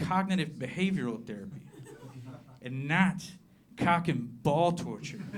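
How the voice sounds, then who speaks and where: Noticeable background noise and audible room echo surround a man with an American accent. He talks at a fairly slow pace, his fairly high voice full of lively intonation. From southern Appalachia, US. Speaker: comedian. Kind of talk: stand-up. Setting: stage with audience.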